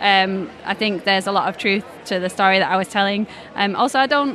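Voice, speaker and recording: A woman with a Yorkshire accent talks at a medium pitch over noticeable background noise. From northern England, Leeds. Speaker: comics creator and illustrator. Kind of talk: interview at a comics festival.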